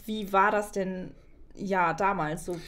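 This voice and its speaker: The voice belongs to a woman. Her intonation is fairly even. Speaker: podcast host. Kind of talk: podcast interview questions. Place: studio. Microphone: studio mic.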